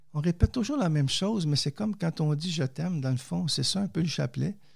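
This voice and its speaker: A man speaks in a Quebec accent at a moderate pace, his pitch fairly high. His intonation is lively, and the recording is very clean with a silent background. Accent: Québécois. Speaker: theologian and poet, author. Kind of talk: interview testimony.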